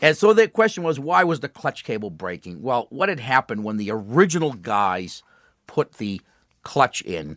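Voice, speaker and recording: A man with an American accent speaks with very wide pitch swings and vocal fry. The sound is dry and close, with no echo. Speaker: radio show host. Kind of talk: call-in radio banter.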